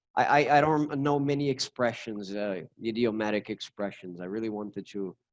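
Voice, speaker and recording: This man speaks at a fairly low pitch. His pitch variation is ordinary. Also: fairly quick pace, dry, close sound with no echo. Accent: Brazilian Portuguese. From Brazil. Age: 30s. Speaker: English teacher. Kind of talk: casual interview chat. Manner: halting, repeats words.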